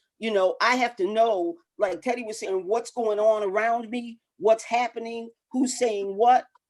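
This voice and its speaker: A woman's fairly high voice, a normal speaking voice, with fairly even intonation at a fairly slow pace. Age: 60s. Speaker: boxing coach. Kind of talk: casual chat.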